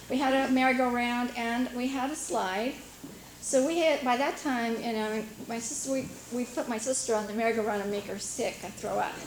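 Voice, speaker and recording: With an American accent, a woman talks at a fairly quick pace in a high pitch with fairly even intonation. Noticeable background noise and audible room echo fill the recording. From US Pacific Northwest, Washington island. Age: 50s. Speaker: local resident sharing memories. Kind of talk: casual reminiscence at community meeting. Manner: hesitant, many fillers.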